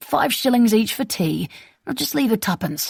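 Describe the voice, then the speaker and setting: This is a put-on character voice that sounds female, raspy and fairly high in pitch. It moves along at a moderate pace. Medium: read story. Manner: smug, dismissive.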